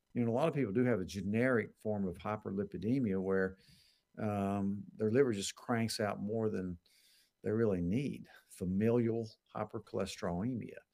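With an ordinary speaking voice, a man talks at a moderate pace in a fairly low pitch with ordinary pitch variation. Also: very clean recording, silent background. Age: 60s. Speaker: doctor answering health questions. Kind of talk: live Q&A show. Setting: live stream with comments.

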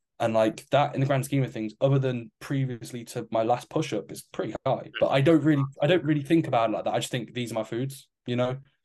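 Speaking at a very fast pace in an English accent, a man has a medium pitch, a dark, mellow tone and ordinary pitch variation, against a quiet background. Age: 20s. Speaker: fitness coach and podcast co-host. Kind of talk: casual chat.

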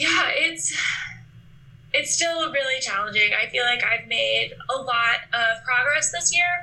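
Over noticeable background noise, a woman with an American accent speaks high-pitched and fairly slow at very even loudness. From Alaska, US. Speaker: guest sharing eating disorder recovery. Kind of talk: interview.

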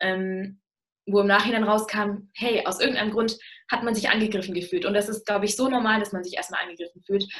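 This woman has an ordinary speaking voice, pitched fairly high. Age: young. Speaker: university student. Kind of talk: interview talk.

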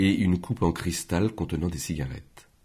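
A man's somewhat breathy, very deep, low voice moves at a fairly slow pace with ordinary pitch variation. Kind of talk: audiobook reading. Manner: measured, slow, unhurried literary narration.

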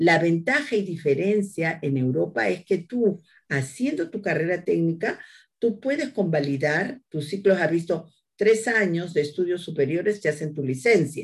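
Somewhat breathy and lively in intonation, the voice unfolds at a fairly slow pace over a quiet background. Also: woman, fairly low pitch for a woman. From Peru, Lima (Barranco). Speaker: agricultural engineer and university lecturer. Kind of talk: interview.

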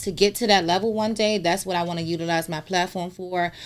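With an American accent and fairly even intonation, a woman talks in an ordinary speaking voice at a fairly low pitch. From DMV area (Washington DC region). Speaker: social media personality. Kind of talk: casual chat.

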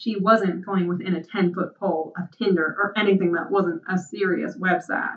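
This reading voice is unforced, and its intonation holds fairly even.

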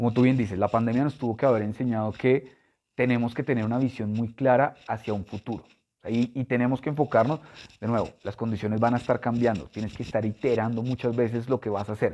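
Talking at a very fast pace, a man uses a medium pitch, a dark, mellow tone and fairly even intonation. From Colombia, Bogotá. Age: 30s. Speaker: chemical industry sales director. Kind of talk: interview.

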